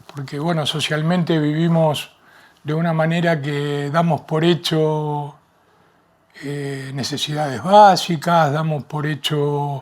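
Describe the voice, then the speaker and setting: Very slowly, a man speaks in a fairly high voice with monotone, flat intonation. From Argentina, Rosario. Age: 60s. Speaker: podcast guest, retiree. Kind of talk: interview. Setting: library recording. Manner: halting, hesitant.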